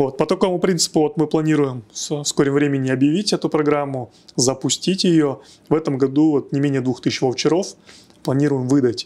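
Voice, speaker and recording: At a fairly quick pace, a man with a fairly high pitch and a dark, mellow tone keeps very even loudness and ordinary pitch variation. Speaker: tech hub executive; guest. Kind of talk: podcast interview. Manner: hesitant, many fillers. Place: studio. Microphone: lapel.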